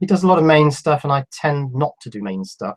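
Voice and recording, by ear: At a fairly quick pace, a man talks with a fairly high pitch. His voice makes big pitch swings.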